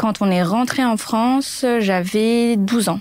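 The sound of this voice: Slow, slightly mellow delivery from a woman with a fairly high voice. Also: ordinary pitch variation.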